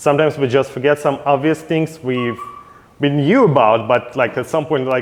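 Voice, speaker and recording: A man speaks at a moderate pace with a fairly high pitch. His intonation is fairly even, with noticeable background noise. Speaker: yeast company technical sales representative. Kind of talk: technical seminar presentation. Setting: seminar at a brewhouse.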